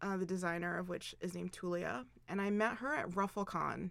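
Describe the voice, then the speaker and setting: Recorded very cleanly against a silent background, a woman with an American accent talks at a moderate pace. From Philadelphia, US East Coast. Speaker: fashion designer, clothing brand owner. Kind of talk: interview. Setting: studio.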